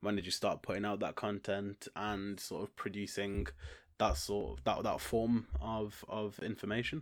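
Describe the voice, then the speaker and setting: The speaker has a Staffordshire accent. The recording is very clean, with a silent background. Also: man, fairly low pitch for a man, ordinary pitch variation, moderate pace. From Stoke-on-Trent, England. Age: 20s. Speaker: podcast host. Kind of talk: casual interview.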